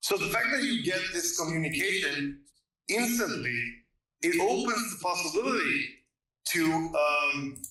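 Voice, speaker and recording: A man with a non-native accent uses a raised, projected voice at a high pitch, with very wide pitch swings. He moves at a fairly slow pace with long, frequent pauses, and room echo is audible. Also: very even loudness. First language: not English. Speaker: caller pitching a science theory. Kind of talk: casual livestream debate. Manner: halting, many repetitions and fillers.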